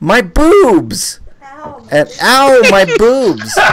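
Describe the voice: A man uses a put-on character voice. It is squeaky and extremely high in pitch.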